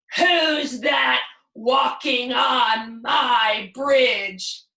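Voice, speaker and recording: Putting on a character voice, a woman speaks high and raspy, with ordinary pitch variation. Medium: read story. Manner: gruff, blustering.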